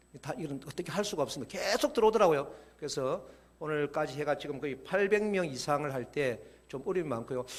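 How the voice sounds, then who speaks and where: A man talks fairly quickly with very wide pitch swings, and noticeable background noise is present. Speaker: church educator. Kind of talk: lecture to church members. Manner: fast.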